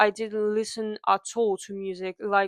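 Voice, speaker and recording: A woman with a slight non-native accent and medium pitch speaks at a fairly slow pace. The sound is dry and close with no echo, over a quiet background. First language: not English. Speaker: music fan YouTuber. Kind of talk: casual story-time talk to camera. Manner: hesitant, with pauses.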